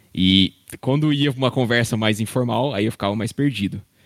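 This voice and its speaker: A man speaks with lively intonation, the sound dry and close with no echo on a very clean recording with a silent background. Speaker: airline pilot. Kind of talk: casual chat.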